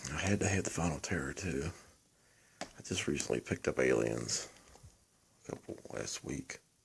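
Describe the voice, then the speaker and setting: A quiet man's very deep, low voice with vocal fry, lively intonation, a moderate pace and long, frequent pauses. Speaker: horror film collector, first-time YouTuber. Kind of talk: casual show-and-tell monologue. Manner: quiet, low-volume; hesitant, self-repeating.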